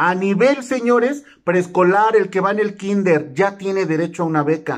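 Over a quiet background, a man talks at a fairly slow pace. His pitch swings very widely. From Mexico. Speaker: YouTuber explaining government benefits. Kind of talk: informational vlog; casual informative vlog talk. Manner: animated. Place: home room. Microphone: phone near.

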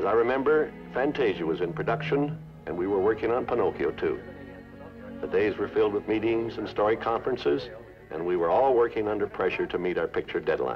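Over clear music in the background, a man speaks at a fairly quick pace broken by long, frequent pauses. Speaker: studio head and TV host. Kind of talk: TV host narration.

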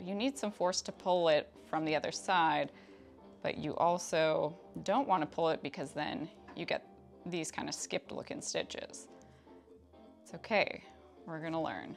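With music in the background, a woman with a fairly low voice speaks at a moderate pace, her pitch swinging very widely and her speech broken by long, frequent pauses. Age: 30s. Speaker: craft hobbyist YouTuber. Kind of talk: craft tutorial narration while working.

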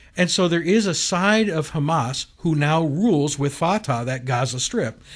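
A man's fairly high voice with very wide pitch swings against a quiet background. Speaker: bishop, show co-host. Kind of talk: casual talk radio discussion. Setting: radio studio. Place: studio.

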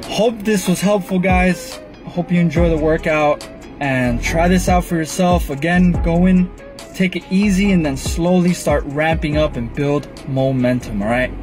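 A man with a high pitch speaks at a fairly slow pace with ordinary pitch variation over clear background music. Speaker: fitness vlogger. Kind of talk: casual vlog chat. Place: car. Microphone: phone near.

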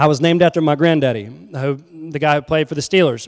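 An American-accented man with a fairly high voice speaks at a moderate pace with ordinary pitch variation over a quiet background. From North and South Carolina. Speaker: humanitarian nonprofit founder; guest lecturer. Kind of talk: lecture. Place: church. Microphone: handheld.

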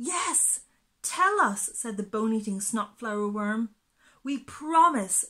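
Lively intonation in a natural reading voice, the backdrop quiet.

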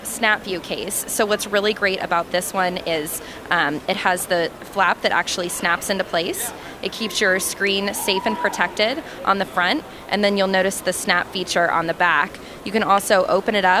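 Speaking at a moderate pace with ordinary pitch variation, a woman is heard in a dry sound with no echo, over noticeable background noise. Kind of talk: product demo interview answer. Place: hall. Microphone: handheld.

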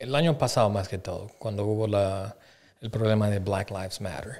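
This man has a fairly low voice with ordinary pitch variation. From Bolivia. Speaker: podcast guest. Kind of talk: casual chat; casual podcast conversation. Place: studio. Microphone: studio mic.

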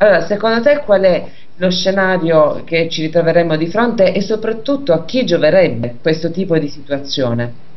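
A woman talks over noticeable background noise with a fairly low pitch. Her pitch swings very widely. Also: moderate pace. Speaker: radio host. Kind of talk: radio talk show hosting.

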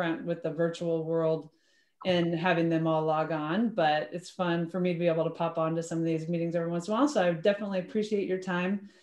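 A woman with a fairly low voice talks at a very fast pace, and the room echo is audible. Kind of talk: meeting presentation. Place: home room. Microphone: video call.

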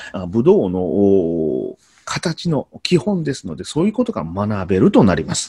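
Against a quiet background, a man with a somewhat breathy voice and a dark, mellow tone swings his pitch very widely. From Kyoto, Japan; Japan. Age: 40s. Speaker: Noh performer and teacher; teacher. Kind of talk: explanatory talk to camera; lecture. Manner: halting, many fillers. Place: home room. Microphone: webcam.

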